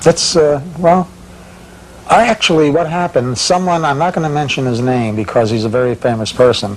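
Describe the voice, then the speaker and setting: This man talks at a fairly quick pace with lively intonation and a fairly high pitch. Noticeable background noise runs underneath. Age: 60s. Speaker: bumper sticker designer. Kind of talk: casual chat.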